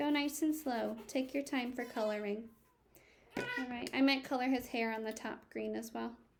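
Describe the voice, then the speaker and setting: Over noticeable background noise and audible room echo, a woman speaks in a high voice with ordinary pitch variation. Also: moderate pace. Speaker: elementary school teacher. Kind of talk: recorded classroom lesson for children.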